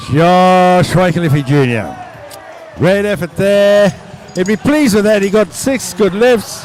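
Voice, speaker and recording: Through noticeable background noise, a man with a high pitch talks fairly slowly, his intonation lively and his loudness very even. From Tonga. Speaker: weightlifting commentator. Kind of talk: live commentary. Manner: quieter; animated.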